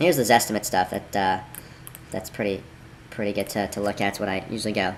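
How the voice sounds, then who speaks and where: Speaking very quickly, a man is heard with noticeable noise in the background. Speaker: real estate investor. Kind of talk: screen-recorded tutorial. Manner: casual, conversational.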